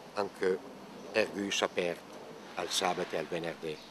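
At a very slow pace, a man speaks with a Lombard accent over light background noise. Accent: Bergamasque dialect. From Bergamo lowlands, Lombardy. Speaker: poet. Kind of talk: dialect poetry reading. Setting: outdoors. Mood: playful, expressive. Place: garden.

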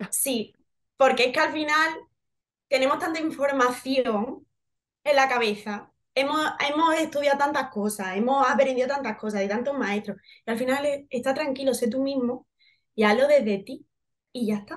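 Speech in an Andalusian accent at a moderate pace, with ordinary pitch variation and long, frequent pauses. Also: woman, high pitch for a woman. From Seville, Andalusia, Spain; Andalusia, Spain. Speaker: actress. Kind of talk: interview. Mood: warm, smiling, animated. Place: home room. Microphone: video call.

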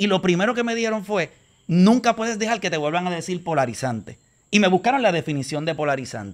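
A man's high voice at a very fast pace with lively intonation. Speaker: podcast guest. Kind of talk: casual chat. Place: garden. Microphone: studio mic.

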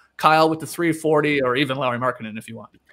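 A man speaks at a fairly quick pace, and the background is quiet. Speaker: podcast host. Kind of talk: podcast host reading news notes. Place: home room. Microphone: studio mic.

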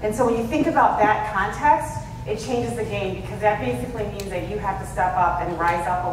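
The speaker goes at a fairly quick pace, with audible room echo and noticeable background noise. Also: woman. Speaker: conference speaker. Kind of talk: talk to an audience. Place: hall.

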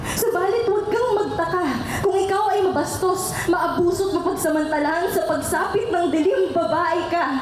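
A woman talks at a moderate pace with an extremely high pitch and fairly even intonation. Her loudness stays very even, and there is noticeable background noise. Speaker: spoken word poet. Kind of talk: spoken word poetry performance.

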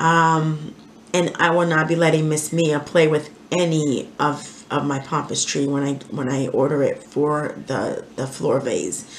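Over audible room echo, a woman speaks at a fairly slow pace in a low pitch with fairly even intonation.

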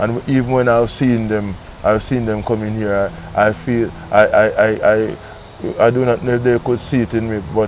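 A man's voice with fairly even intonation, a dry sound with no echo, and light background noise. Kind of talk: interview answer. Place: garden. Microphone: lapel.

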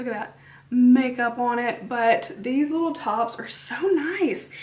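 With ordinary pitch variation, a woman talks in a high voice. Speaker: beauty vlogger. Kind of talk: casual vlog chat. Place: home room. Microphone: camera far.

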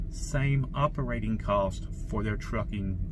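A man talks with ordinary pitch variation. Clear background noise runs behind him.

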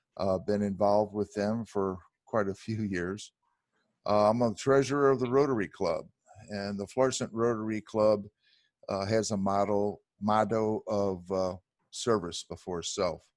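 A man with an American accent and an ordinary speaking voice talks at a fairly slow pace with fairly low pitch and fairly even intonation. The recording is very clean with a silent background. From St. Louis County, Missouri. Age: 60s. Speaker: political candidate. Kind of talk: debate forum.

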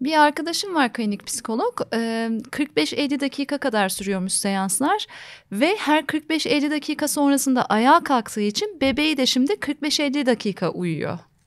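A woman with a high pitch speaks at a fairly slow pace, her pitch swinging very widely and hardly any pauses in between. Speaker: channel host interviewing a psychologist; conversation host or guest. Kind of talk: interview conversation. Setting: recorded video interview. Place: studio. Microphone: studio mic.

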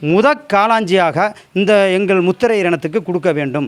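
Speaking with ordinary pitch variation, a man has a high-pitched voice. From Tamil Nadu, Pudukkottai district. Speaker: village temple custodian. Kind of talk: testimony.

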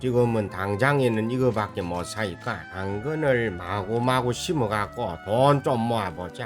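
Over music in the background, a man talks at a fairly slow pace with a fairly low pitch and ordinary pitch variation. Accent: Gyeongsang. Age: 80s+. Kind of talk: casual gameplay commentary.

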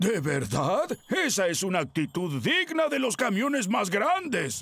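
A man's cartoonish character voice, pitched high, with very wide pitch swings, very even loudness and a fairly slow pace. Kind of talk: cartoon dub acting.

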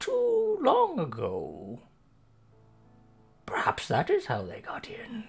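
Speaking very slowly, a man uses a put-on character voice. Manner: vague, drowsy, detached.

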